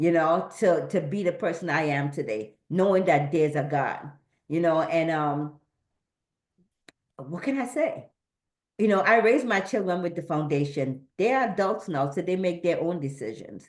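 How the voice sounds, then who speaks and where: At a moderate pace, a woman speaks with lively intonation in a room with audible echo. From Trinidad. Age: 60s. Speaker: event participant giving a tribute. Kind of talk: personal testimony. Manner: halting, repeats words.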